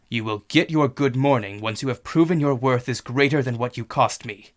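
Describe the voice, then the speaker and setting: A growling, put-on character voice from a man, medium in pitch with ordinary pitch variation, at a fairly quick pace. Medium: read story. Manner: authoritative, powerful.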